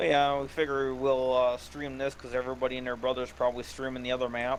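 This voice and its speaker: Amid noticeable background noise, a man with an American accent talks very fast at a medium pitch in a monotone, flat delivery. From northern Wisconsin, near Upper Michigan. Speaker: gaming livestream co-player. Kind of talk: casual chat during gameplay livestream. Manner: halting.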